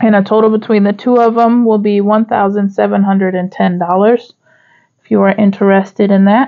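Over music in the background, a woman at medium pitch speaks at a moderate pace with very even loudness and monotone, flat intonation. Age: 30s. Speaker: small business owner and budgeting creator. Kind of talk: casual talk to camera.

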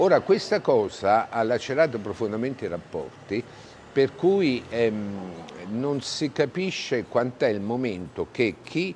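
A man talks at a very slow pace, his pitch swinging very widely. Light background noise runs underneath. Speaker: former mayor and politician. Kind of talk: interview answer. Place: street. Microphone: lapel.

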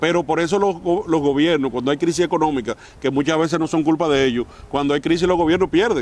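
Speaking at a very fast pace, a man with a fairly high pitch shows ordinary pitch variation in a dry sound with no echo. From Dominican Republic. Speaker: mayor and politician; mayor, politician. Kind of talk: interview. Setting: outdoors in front of the basilica. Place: garden. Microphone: lapel.

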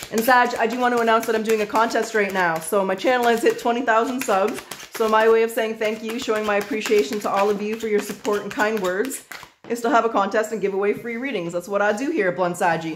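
The speech comes at a very fast pace. Light background noise can be heard. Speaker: tarot reader. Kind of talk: tarot reading commentary.

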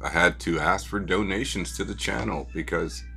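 Faint music plays in the background. A man talks at a very deep, low pitch. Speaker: toy car collector channel host. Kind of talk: casual vlog chat. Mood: relaxed, slightly concerned. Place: home room.

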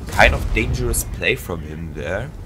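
The speaker has a German accent and moves at a fairly slow pace. Their pitch swings very widely. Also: man. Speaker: gaming YouTuber. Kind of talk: gameplay commentary. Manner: halting.

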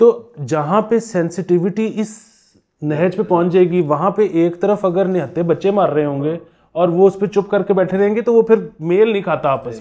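High-pitched male speech at a fairly slow pace, with ordinary pitch variation, over a quiet background. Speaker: podcast guest or commentator. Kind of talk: conversational commentary. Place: home room. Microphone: lapel.

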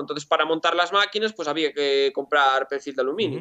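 This man's tone is bright and sharp. Nothing can be heard behind him. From Galicia, Spain. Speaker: engineer and shop owner; interview guest. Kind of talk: interview. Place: workshop. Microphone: video call.

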